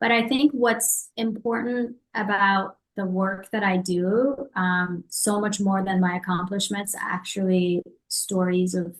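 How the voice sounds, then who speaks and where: A woman speaks in a somewhat breathy voice. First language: not English. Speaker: entrepreneur and author. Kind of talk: podcast interview. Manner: hesitant, with fillers.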